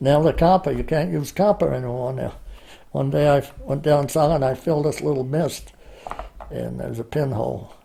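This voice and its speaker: At a moderate pace, someone speaks with an American accent over noticeable background noise. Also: man. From New Hampshire, USA. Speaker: oral history interviewee, long-time resident. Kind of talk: oral history interview answer. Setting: at home, indoor interview.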